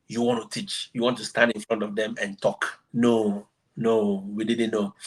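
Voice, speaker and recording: A medium-pitched man with an African accent, flat monotone and fairly slow pace. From Ghana. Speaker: exchange teacher. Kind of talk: interview.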